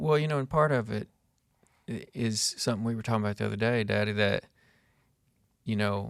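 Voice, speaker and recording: A man with an Arkansas accent, fairly low-pitched, at a fairly quick pace broken by long, frequent pauses. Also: ordinary pitch variation. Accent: US Southern (Arkansas). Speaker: podcast host. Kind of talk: casual chat. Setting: workshop.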